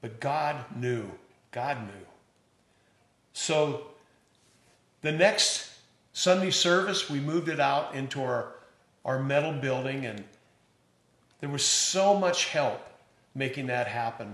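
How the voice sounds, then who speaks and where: Long, frequent pauses break up a man's very slow speech. His fairly high pitch shows ordinary variation, and audible room echo is present. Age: 70s. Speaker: pastor. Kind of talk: church announcement address. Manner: warm, enthusiastic.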